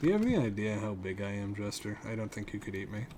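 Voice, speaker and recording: A man speaks fairly quickly at a fairly low pitch. Room echo is audible. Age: 30s. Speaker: video game streamer. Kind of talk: casual gameplay commentary. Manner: casual, chatty.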